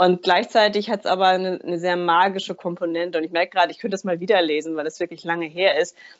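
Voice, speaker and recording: A woman's fairly low voice, very fast, monotone and flat, with hardly any pauses. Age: 40s. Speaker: energy healer and coach. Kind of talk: interview.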